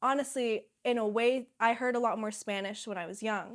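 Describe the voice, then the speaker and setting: On a very clean recording with a silent background, a woman with an American accent and an unremarkable speaking voice talks at a fairly slow pace, her fairly high pitch varying an ordinary amount. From US, Pittsburgh. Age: 20s. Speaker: climber and filmmaker. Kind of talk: interview.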